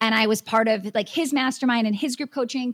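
An ordinary speaking voice from a woman with an American accent, fairly high in pitch, at a moderate pace, in a dry, close sound with no echo. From Wisconsin. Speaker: business coach and dance studio owner. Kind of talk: interview.

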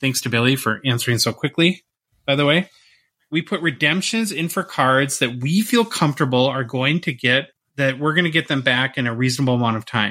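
Speaking at a fairly quick pace in a normal speaking voice, a man with an American accent sounds fairly high with ordinary pitch variation, on a very clean recording with a silent background. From northern Minnesota. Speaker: podcast host. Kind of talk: casual chat.

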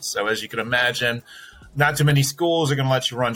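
A man speaking at a fairly quick pace with fairly even intonation, music in the background. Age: 40s. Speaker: branding firm founder and CEO. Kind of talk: interview conversation.

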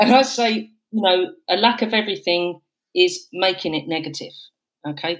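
A woman speaks in a plain, everyday voice at a moderate pace, her pitch medium and her intonation lively. The recording is very clean, with a silent background. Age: 50s. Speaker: guest sharing menopause experience, homelessness sector worker. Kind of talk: personal testimony in casual chat.

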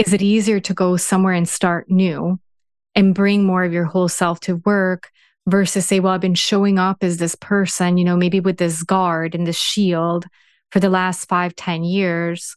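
Woman with an American accent, medium pitch, monotone, flat intonation, very even loudness and a moderate pace, dry and close with no echo, quiet background. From Serbia, raised in the US from age 12. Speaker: organisational psychologist and executive. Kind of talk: interview.

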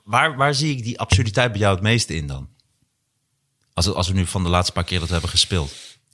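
With a bright, sharp tone and lively intonation, a man talks at a very fast pace yet with long, frequent pauses, in a very clean recording with a silent background. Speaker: comedian and podcast host. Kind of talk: casual chat.

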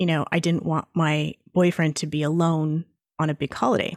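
Dry and close with no echo, on a very clean recording with a silent background, a woman with a plain, everyday voice speaks at a fairly slow pace and fairly low pitch. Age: 40s. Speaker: intuitive reader. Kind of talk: interview.

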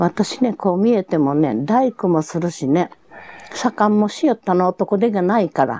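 A woman with a Hiroshima accent speaks at a moderate pace in a medium pitch with lively intonation. The sound is dry and close, with no echo. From Japan, Hiroshima. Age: 90s. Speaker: atomic bomb survivor. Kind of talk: testimony. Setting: at home.

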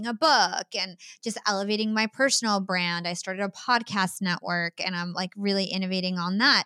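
Bright and sharp in tone, a woman speaks with an American accent at medium pitch and a fairly quick pace. The recording is very clean with a silent background and a dry, close sound with no echo. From US, New Jersey. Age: 30s. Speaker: podcast host and media entrepreneur. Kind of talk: interview conversation.

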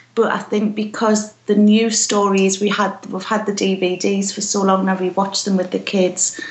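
In a medium-pitched voice with monotone, flat intonation, a woman keeps a moderate pace with hardly any pauses. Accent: British. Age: 40s. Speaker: podcast contributor and blogger. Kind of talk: casual interview chat.

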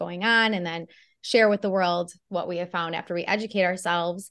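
This is a normal speaking voice at a fairly quick pace. The intonation stays fairly even. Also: woman. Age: 40s. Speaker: nutrition and fitness coach. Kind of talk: interview.

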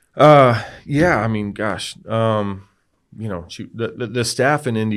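This man has an unremarkable speaking voice, fairly low in pitch, moving at a moderate pace with ordinary pitch variation. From Texas. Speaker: former pro football player. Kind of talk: testimony.

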